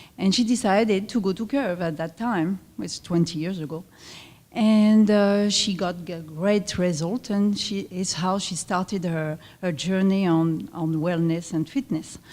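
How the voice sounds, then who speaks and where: The voice has a French accent and a dark, mellow tone, with ordinary pitch variation at a fairly slow pace. The recording is very clean with a silent background. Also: woman, medium pitch for a woman. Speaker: fitness club owner. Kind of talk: presentation at luncheon. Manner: halting.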